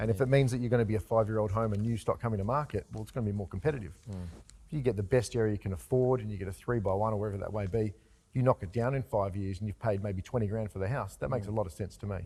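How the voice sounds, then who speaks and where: Recorded very cleanly against a silent background, a man talks at a very fast pace with a fairly low pitch and a somewhat breathy, dark, mellow tone. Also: ordinary pitch variation. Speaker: real estate agent. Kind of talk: casual conversational talk about property advice.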